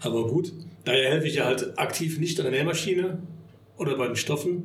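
Audible room echo follows a man who talks at a fairly quick pace, with a fairly high pitch and ordinary pitch variation. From Bonn, Rhineland, Germany. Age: 50s. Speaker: party venue owner. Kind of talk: casual interview. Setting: party hall venue.

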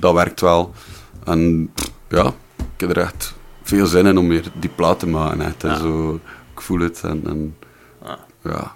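Speaking at a very slow pace with long, frequent pauses, this voice carries a slight West Flemish accent and fairly even intonation. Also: man, very deep, low pitch for a man. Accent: West Flemish dialect, toned down. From Belgium, West Flanders. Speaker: musician. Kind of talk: casual chat.

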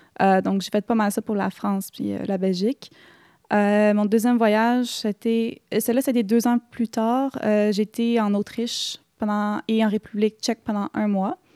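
On a very clean recording with a silent background and a dry, close sound with no echo, a woman with a fairly high pitch and a dark, mellow tone speaks at a fairly slow pace with fairly even intonation. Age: 20s. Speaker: solo traveler and makeup artist. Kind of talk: casual interview.

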